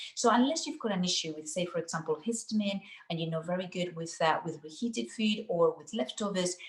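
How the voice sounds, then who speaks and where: In a Spanish accent, the voice is somewhat breathy, moving at a fairly quick pace with lively intonation and big swings in loudness. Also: woman, fairly low pitch for a woman. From Spain. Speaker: nutritional therapist. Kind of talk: cooking demonstration. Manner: fast.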